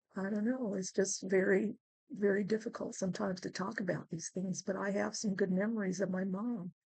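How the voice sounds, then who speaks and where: At a fairly quick pace, a woman with an American accent speaks at medium pitch with fairly even intonation. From California, US (military base). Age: 60s. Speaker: vlogger. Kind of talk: casual personal vlog. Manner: halting, many fillers.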